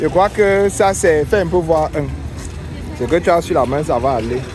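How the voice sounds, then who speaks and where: A man with a Cameroonian accent at a fairly slow pace, lively in intonation, with music in the background. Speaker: travel vlogger. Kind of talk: vlog walking tour. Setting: outdoors, street market.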